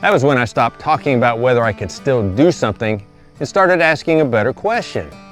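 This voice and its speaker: A man's very wide pitch swings over music in the background. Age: 60s. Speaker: farmer. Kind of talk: casual talk to camera.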